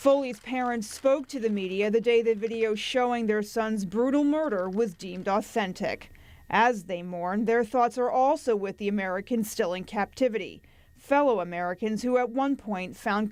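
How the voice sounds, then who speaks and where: A woman uses an ordinary speaking voice, fairly high-pitched with ordinary pitch variation, at a moderate pace. The recording is very clean, with a silent background. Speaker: television news anchor. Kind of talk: TV news anchor delivery.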